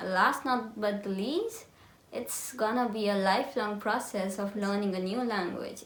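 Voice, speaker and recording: Speaking in an Indian accent at a fairly slow pace, a woman uses a medium pitch and fairly even intonation, with audible room echo and noticeable background noise. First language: Hindi. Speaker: lifestyle vlogger. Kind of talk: casual tutorial chat.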